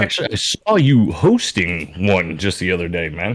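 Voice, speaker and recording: Booming and very deep, a man's voice sits low in pitch with ordinary variation. He speaks at a moderate pace. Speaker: podcast guest. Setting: boom mic.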